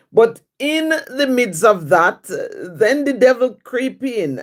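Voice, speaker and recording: In a Jamaican accent, a woman speaks with lively intonation. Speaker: livestream host, writer. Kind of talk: casual livestream chat answering viewer questions.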